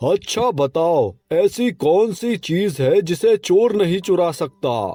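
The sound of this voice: A man's cartoonish character voice, high-pitched and very slow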